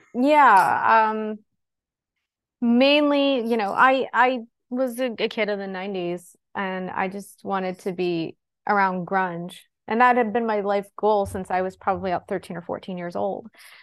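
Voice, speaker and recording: A woman with an American accent and an ordinary speaking voice talks at a fairly slow pace, medium in pitch with ordinary pitch variation, against a quiet background. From western Pennsylvania, near Pittsburgh. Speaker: comics publicist and author. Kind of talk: casual interview. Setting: remote call.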